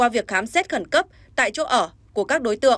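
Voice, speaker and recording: High in pitch, a woman's voice rises and falls with lively intonation. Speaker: news anchor. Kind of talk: news reading.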